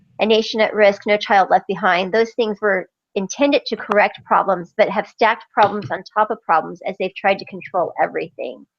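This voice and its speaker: A woman speaks at a fairly quick pace with hardly any pauses. She has a normal speaking voice, medium pitch and ordinary pitch variation. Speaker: university student in a group discussion. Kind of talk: class group discussion and spoken summary.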